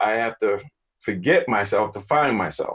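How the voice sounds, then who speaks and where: At a moderate pace, a man talks at a medium pitch. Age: 60s. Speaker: mindfulness coach. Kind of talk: panel discussion. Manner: halting.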